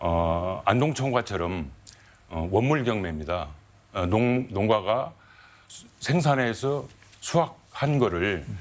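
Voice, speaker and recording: A man speaks at a very slow pace with long, frequent pauses, very wide pitch swings, and big swings in loudness. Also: fairly low pitch for a man. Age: 60s. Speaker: farmers' group leader. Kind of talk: panel debate. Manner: halting.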